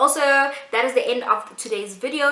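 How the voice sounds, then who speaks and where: A woman's high-pitched, animated voice, with audible room echo and noticeable background noise. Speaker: YouTuber. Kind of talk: casual vlog talk to camera. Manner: fast.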